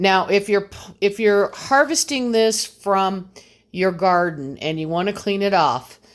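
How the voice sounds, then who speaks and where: A woman with a plain, everyday voice speaks at medium pitch with lively intonation on a very clean recording with a silent background. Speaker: home gardener and homesteader. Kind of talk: tutorial. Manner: casual with fillers.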